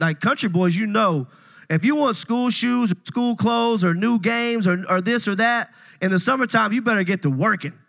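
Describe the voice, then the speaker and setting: Against a quiet background, a man with a Tennessee accent speaks in a raised, projected, animated voice of high pitch, bright and sharp in tone, with ordinary pitch variation at a moderate pace. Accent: Southern US (Tennessee). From US South, Paris, Tennessee. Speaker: pastor. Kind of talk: sermon.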